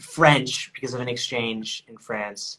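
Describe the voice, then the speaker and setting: A man with an American accent has a plain, everyday voice. He speaks at a fairly slow pace with fairly even intonation. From United States. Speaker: content creator. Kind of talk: casual chat.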